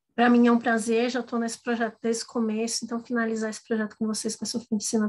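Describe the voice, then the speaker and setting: The woman's voice sits at a fairly high pitch. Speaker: workshop instructor. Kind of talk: online workshop lecture.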